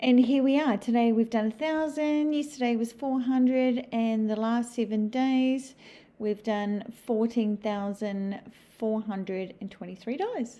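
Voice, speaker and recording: The voice has a dark, mellow tone and ordinary pitch variation, moving at a fairly slow pace. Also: woman, fairly high pitch for a woman. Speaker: customer testimonial. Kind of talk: testimony.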